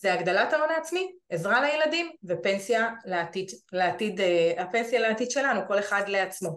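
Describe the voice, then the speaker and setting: Using a normal speaking voice, a woman talks at a medium pitch and a fairly slow pace with lively intonation. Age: 40s. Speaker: real estate investment advisor. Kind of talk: webinar presentation. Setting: online webinar.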